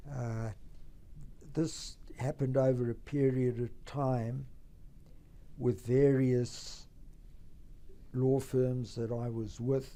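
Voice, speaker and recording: A man's very slow, flat, monotone delivery at medium pitch, dark and mellow in tone, with long, frequent pauses and a South African accent. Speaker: tax lawyer and trust company founder. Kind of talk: company history talk. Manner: formal.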